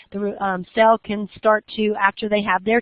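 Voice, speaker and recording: Speaking at a moderate pace and medium pitch, a woman has an unremarkable speaking voice. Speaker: college biology professor. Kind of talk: lecture.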